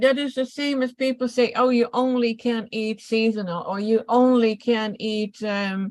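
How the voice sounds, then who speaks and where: Fairly slow yet with hardly any pauses, a woman speaks in a fairly high pitch with fairly even intonation. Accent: Dutch. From Netherlands. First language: Dutch. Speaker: detox and nutritional health coach. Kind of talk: casual health Q&A chat. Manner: halting.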